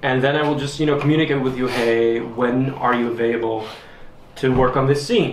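A man speaks at medium pitch and a moderate pace, with ordinary pitch variation. Audible room echo surrounds his voice.

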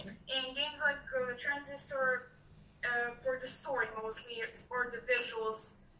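A woman with a high voice speaks fairly slowly in a flat monotone, with audible room echo and light background noise. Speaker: student. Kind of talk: casual chat. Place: office. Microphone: webcam.

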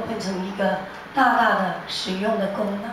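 A woman at medium pitch and a fairly slow pace, with noticeable background noise and audible room echo. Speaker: music teacher. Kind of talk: church prayer and announcement. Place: church.

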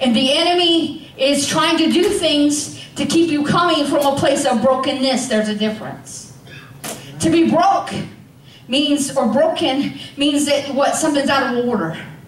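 A woman with a high pitch at a fairly slow pace, with light background noise and audible room echo. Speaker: preacher. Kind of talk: sermon. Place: church.

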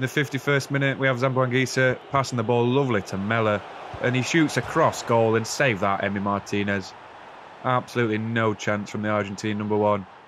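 A man with a British accent talks at a medium pitch and a fairly quick pace over noticeable background noise. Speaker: gaming YouTuber. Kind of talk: FIFA career mode gameplay commentary, casual chat; play-by-play commentary on match highlights, narrating goals. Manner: casual, chatty, self-deprecating, jokey; shifts to quicker, more animated play-by-play when narrating goals.

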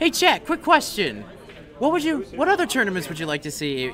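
Fairly quick speech over light background noise. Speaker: guest commentator. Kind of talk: live commentary. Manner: animated. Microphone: studio mic.

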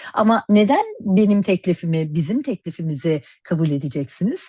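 The voice is dark, mellow and somewhat breathy, with very wide pitch swings and a dry, close sound with no echo. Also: woman, quiet background. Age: 50s. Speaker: cosmetics educator and network marketer. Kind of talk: sales pitch.

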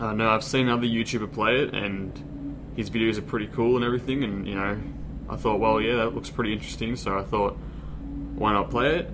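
With noticeable background noise behind him, a man talks at a very fast pace in a fairly low pitch. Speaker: gaming youtuber. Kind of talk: casual vlog chat. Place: home room. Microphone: webcam.

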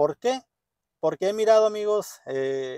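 A man with a dark, mellow tone speaks at a moderate pace with ordinary pitch variation. The recording is dry with no echo and has a quiet background. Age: 30s. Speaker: vlogger. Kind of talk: casual vlog monologue. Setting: parked car. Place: car. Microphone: phone near.

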